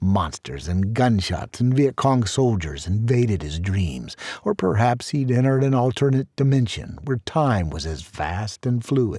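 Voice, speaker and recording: Somewhat breathy and dark, mellow in tone, a man speaks at a fairly slow pace and fairly low pitch with very wide pitch swings. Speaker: author narrating own novel. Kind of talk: audiobook narration. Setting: studio.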